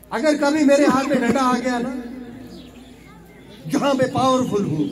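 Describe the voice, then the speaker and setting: A man's extremely high-pitched voice with ordinary pitch variation, plus audible room echo and noticeable background noise. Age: 50s. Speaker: politician. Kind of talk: public speech. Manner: impassioned.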